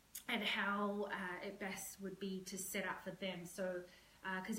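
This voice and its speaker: A woman's medium-pitched voice at a moderate pace, with audible room echo. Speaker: professional organizer. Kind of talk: live-stream home tour tutorial. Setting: at home, walking with camera. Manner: hesitant, many fillers.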